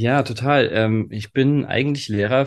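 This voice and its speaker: A man talks very slowly, with ordinary pitch variation, and the background is quiet. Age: 30s. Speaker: nonviolent communication trainer. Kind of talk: interview. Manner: hesitant, many filler sounds.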